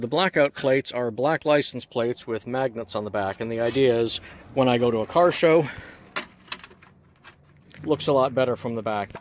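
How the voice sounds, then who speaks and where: A man speaks at medium pitch with a Canadian accent. His pace is fairly quick, and his pitch varies in an ordinary way. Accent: sounds Canadian. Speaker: movie car replica owner. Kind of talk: casual walkaround tour to camera. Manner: casual, uses filler words like so and actually.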